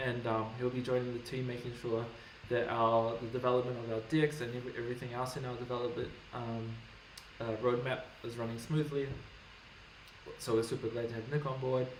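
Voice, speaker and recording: Amid noticeable background noise and audible room echo, a man speaks at a fairly quick pace and medium pitch, flat and monotone, with long, frequent pauses. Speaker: company CEO. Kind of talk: casual livestream Q&A.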